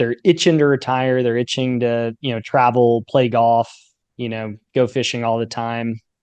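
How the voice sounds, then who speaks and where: A man talks at a moderate pace in a plain, everyday voice of medium pitch, with fairly even intonation. The sound is dry and close with no echo, over a quiet background. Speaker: podcast host. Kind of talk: interview question.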